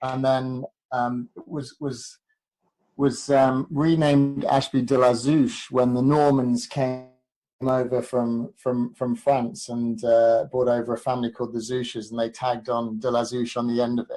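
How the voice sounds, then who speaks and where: Over music in the background, someone with an English accent speaks fairly slowly in a flat monotone. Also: man, medium pitch for a man. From English Midlands, Leicestershire. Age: 40s. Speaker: proposal consultant, former athlete. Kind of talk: podcast interview. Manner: hesitant, many fillers and repeats.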